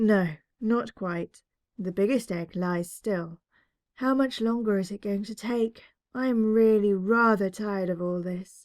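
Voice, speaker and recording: Doing a put-on character voice at medium pitch, a woman speaks at a fairly slow pace in a very clean recording with a silent background. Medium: read story.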